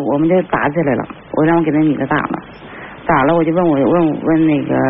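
Amid noticeable background noise, a woman talks very fast at a fairly low pitch with very even loudness. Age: 40s. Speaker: caller. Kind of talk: call-in advice. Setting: phone call. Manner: halting.

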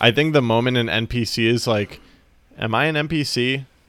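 His pitch sits in the middle range, and his intonation is lively. The man has a plain, everyday voice. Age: 20s. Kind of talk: casual chat. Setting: video call.

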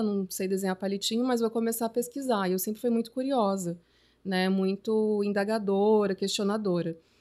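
A woman with a plain, everyday voice, fairly high pitch and fairly even intonation at a moderate pace, in a very clean recording over a silent background. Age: 30s. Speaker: journalist and artist. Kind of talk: casual chat.

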